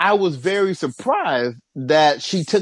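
A man talks at a very slow pace with an American accent. His intonation is lively. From US Midwest, Cincinnati, Ohio. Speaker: tennis podcast co-host. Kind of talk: casual chat.

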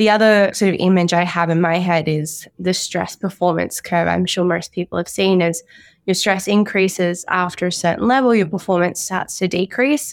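A woman's medium-pitched voice with an Australian accent, at a moderate pace with hardly any pauses, very even loudness, and fairly even intonation, in a very clean recording with a silent background. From Brisbane, Queensland, Australia. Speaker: orthopaedic doctor. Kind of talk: interview.

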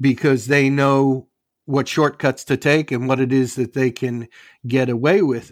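A man's ordinary speaking voice at a moderate pace and medium pitch, with a dry, close sound and no echo. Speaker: former airline pilot. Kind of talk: casual chat. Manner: sarcastic.

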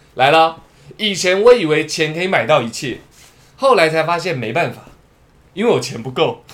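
Over noticeable background noise, a man with a fairly high voice talks at a moderate pace in an animated tone with lively intonation, leaving long, frequent pauses. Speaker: podcast host. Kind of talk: casual chat.

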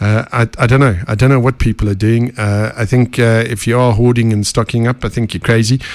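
Medium pitch and ordinary pitch variation in a man's voice. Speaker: podcast host. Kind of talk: casual interview.

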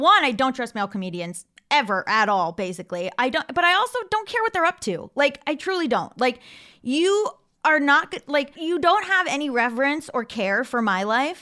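Loud and projected, a woman speaks at a moderate pace in a high, bright, sharp voice. Her pitch swings very widely. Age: 30s. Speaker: comedian and writer. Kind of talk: casual chat.

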